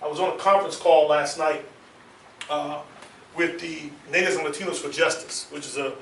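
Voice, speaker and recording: A fairly high-pitched man at a fairly quick pace with fairly even intonation, long, frequent pauses, audible room echo and noticeable background noise. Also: big swings in loudness. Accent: American. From Washington DC. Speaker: military science instructor. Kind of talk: seminar lecture.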